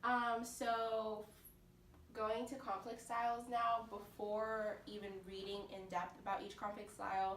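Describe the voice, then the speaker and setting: A woman's fairly high voice comes flat and monotone at a fairly slow pace, with audible room echo and noticeable background noise. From South Florida. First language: Portuguese. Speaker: university student. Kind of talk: class presentation.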